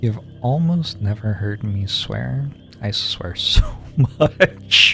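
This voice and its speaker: Over noticeable background noise, a man speaks in a calm tone at a very slow pace. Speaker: video game streamer. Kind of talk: live gameplay commentary.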